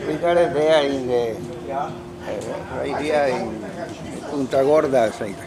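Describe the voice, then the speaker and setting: A man with a fairly high pitch and ordinary pitch variation speaks at a fairly slow pace with long, frequent pauses, amid audible room echo and noticeable background noise. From Colombia, Cali. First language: Spanish. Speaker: model sailboat club member. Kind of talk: casual interview. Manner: halting.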